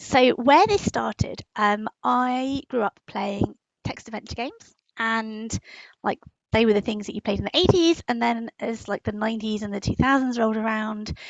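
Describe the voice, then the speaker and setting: A fairly high-pitched woman with a British accent and ordinary pitch variation. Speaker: writer and magazine editor. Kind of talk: interview. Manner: many fillers and false starts.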